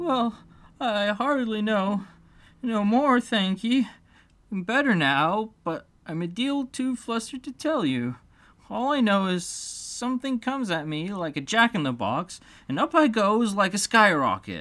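Squeaky and fairly high in pitch, this put-on character voice unfolds at a fairly slow pace. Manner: rustic, plain-spoken.

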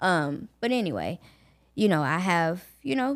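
A fairly low-pitched woman with a Southern US accent on a very clean recording with a silent background. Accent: Southern US (Georgia). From US South, Augusta, Georgia. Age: 20s. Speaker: podcast host and college student. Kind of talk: personal storytelling monologue.

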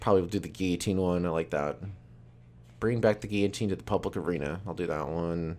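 Very clean recording, silent background. A man with a very deep, low voice talks at a very fast pace with ordinary pitch variation. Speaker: comedian. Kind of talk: casual chat.

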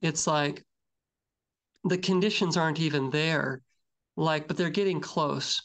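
A man with a normal speaking voice, fairly high in pitch, with ordinary pitch variation and a moderate pace over a quiet background. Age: 40s. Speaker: podcast co-host. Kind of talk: casual chat.

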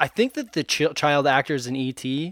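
Recorded very cleanly against a silent background, with a dry, close sound and no echo, a man uses an ordinary speaking voice at a fairly high pitch and a moderate pace. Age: 20s. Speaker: podcast co-host. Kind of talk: casual chat.

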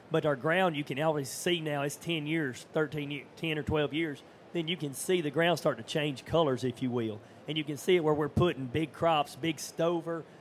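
This man has a normal speaking voice, pitched fairly high. He talks at a moderate pace with fairly even intonation. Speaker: farmer.

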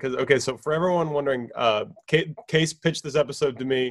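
Here a man uses an ordinary speaking voice at a fairly quick pace with ordinary pitch variation. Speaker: guest. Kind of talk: casual chat. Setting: video call.

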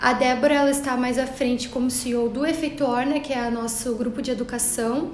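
Over audible room echo and noticeable background noise, a woman talks at a moderate pace with hardly any pauses. Her high-pitched delivery is monotone and flat. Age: 30s. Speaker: entrepreneur, branding specialist. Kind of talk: interview.

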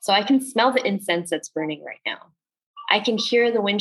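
A woman with an American accent speaks in an unremarkable speaking voice at a fairly quick pace. Her intonation is lively. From northern New Jersey, US. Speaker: coach and healing facilitator. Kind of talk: casual chat.

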